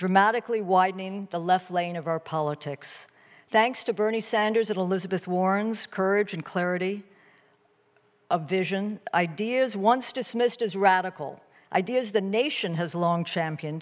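Against a quiet background, a woman is heard. She talks at a moderate pace, her pitch varying in an ordinary way. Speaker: event host introducing a debate. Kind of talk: formal opening remarks. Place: hall. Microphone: podium.

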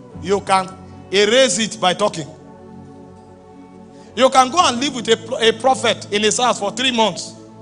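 A man's high voice at a moderate pace, with ordinary pitch variation and faint music in the background. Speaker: preacher, apostle. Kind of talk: sermon, preaching to a congregation. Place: church. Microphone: handheld.

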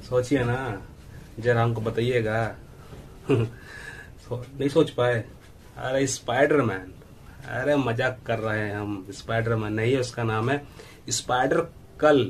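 Long, frequent pauses mark a man's very slow delivery, his intonation fairly even over light background noise. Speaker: fitness youtuber. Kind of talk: casual tutorial chat.

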